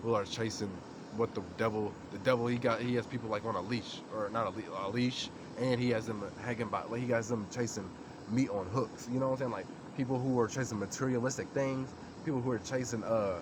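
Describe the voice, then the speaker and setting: Noticeable background noise accompanies a man with a medium-pitched voice. He talks at a fairly quick pace with fairly even intonation. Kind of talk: informal religious talk to camera. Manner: casual, with many fillers.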